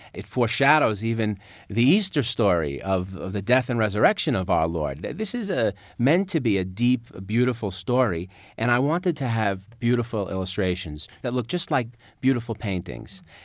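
The speaker has a New York accent. The pitch swings very widely. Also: man, medium pitch for a man, moderate pace, very clean recording, silent background. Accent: New York, noticeable. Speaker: author. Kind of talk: interview and reading book aloud.

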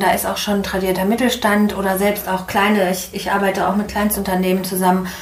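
Amid noticeable background noise and audible room echo, a woman speaks at a medium pitch and a fairly quick pace. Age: 50s. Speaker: management consultant and coach. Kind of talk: interview.

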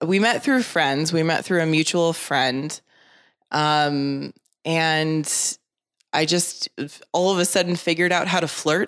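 On a very clean recording with a silent background, a woman speaks in an ordinary speaking voice, fairly low in pitch with ordinary pitch variation, very even loudness and a fairly slow pace. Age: 30s. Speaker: podcast guest. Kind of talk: casual chat.

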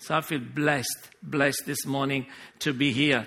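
A man talks with a fairly high pitch. His pace is fairly slow. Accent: strong Italian. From Sicily, Italy. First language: Italian. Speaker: pastor. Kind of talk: sermon. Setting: church.

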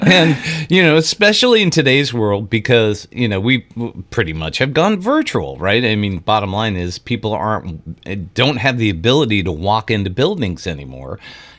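A man's fairly low, fry-edged voice, animated, at a moderate pace with very wide pitch swings. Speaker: podcast host. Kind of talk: casual interview. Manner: animated, excitable.

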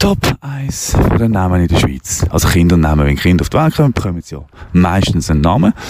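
Over noticeable background noise, a man talks at a fairly quick pace. His pitch is very deep and low, and his intonation is lively. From Basel, Switzerland. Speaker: radio host. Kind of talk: casual monologue while walking. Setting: outdoors, walking through town. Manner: rambling, hesitant with many fillers.

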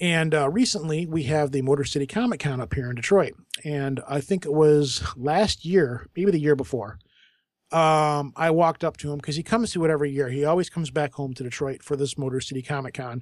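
On a very clean recording with a silent background, a man uses an ordinary speaking voice, fairly high in pitch, moving at a fairly quick pace with ordinary pitch variation. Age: 40s. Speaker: podcaster. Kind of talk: casual chat.

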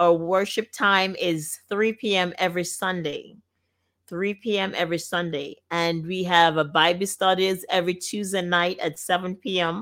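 On a very clean recording with a silent background, a woman at a medium pitch talks at a fairly slow pace with fairly even intonation. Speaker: gospel radio host. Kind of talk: radio talk show hosting. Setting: studio.

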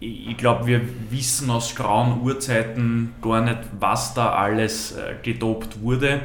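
Over noticeable background noise and audible room echo, a man speaks at a medium pitch and a very slow pace. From Vienna. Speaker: podcast host. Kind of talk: casual interview.

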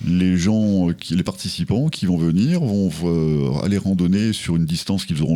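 Against noticeable background noise, a man with a very deep, low pitch speaks at a very slow pace with ordinary pitch variation. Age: 60s. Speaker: hiking club president. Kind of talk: radio interview.

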